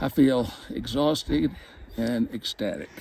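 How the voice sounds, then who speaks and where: A man with vocal fry speaks at a medium pitch with lively intonation. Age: 70s. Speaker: hunting client. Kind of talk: interview. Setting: outdoors.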